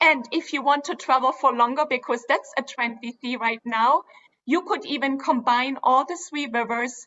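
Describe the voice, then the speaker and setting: At a moderate pace, a woman with a German accent speaks at a high pitch with ordinary pitch variation. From Germany (Dresden). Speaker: cruise line executive. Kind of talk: sales presentation. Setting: virtual event.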